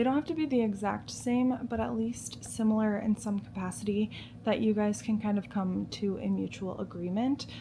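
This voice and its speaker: Soft-spoken and very even in loudness, a woman talks at a medium pitch and moderate pace with ordinary pitch variation over noticeable background noise. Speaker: lifestyle vlogger. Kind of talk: casual chat. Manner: casual, filler-heavy.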